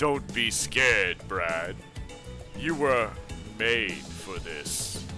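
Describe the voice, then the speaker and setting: With clear music in the background, a man in a put-on character voice speaks very slowly, his pitch very deep and low. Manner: reassuring, spooky.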